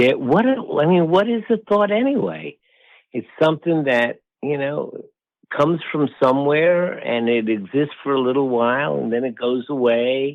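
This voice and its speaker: A man with a plain, everyday voice, fairly high in pitch, with lively intonation at a moderate pace. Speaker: meditation teacher; wellness professor. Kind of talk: podcast interview answer.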